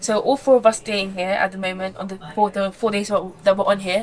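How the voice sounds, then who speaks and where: The delivery is very fast. Intonation stays fairly even. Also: woman. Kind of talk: casual piece to camera. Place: boat.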